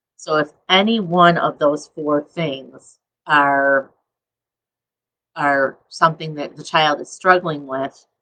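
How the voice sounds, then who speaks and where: A woman with a very deep, low pitch and a bright, sharp tone speaks at a very slow pace, her fairly even intonation broken by long, frequent pauses and big swings in loudness. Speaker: attorney giving legal advice. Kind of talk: educational webcast talk. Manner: frequent filler words.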